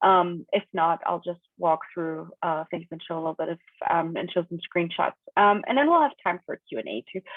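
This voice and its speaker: A woman's fairly low voice with a German accent, moderate pace and ordinary pitch variation. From Germany. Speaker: data quality consultant and conference speaker. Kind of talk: technical talk. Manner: casual, many filler words.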